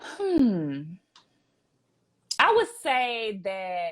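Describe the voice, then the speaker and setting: A woman with a strong Southern US accent speaks in an energetic tone with lively intonation, on a very clean recording with a silent background. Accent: Southern US, thick. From US South. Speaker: private chef and entrepreneur. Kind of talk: casual interview chat.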